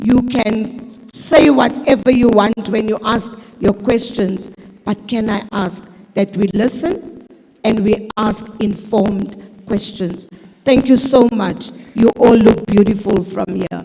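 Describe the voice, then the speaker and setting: A woman's fairly high voice at a very slow pace, over noticeable background noise. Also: ordinary pitch variation. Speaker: meeting chairperson. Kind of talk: public meeting facilitation. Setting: civic centre hall with audience. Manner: formal.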